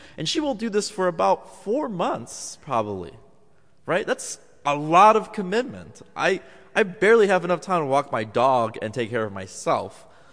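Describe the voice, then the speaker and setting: At a moderate pace, a man speaks in a fairly high pitch with vocal fry and very wide pitch swings. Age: 20s. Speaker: preacher. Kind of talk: sermon.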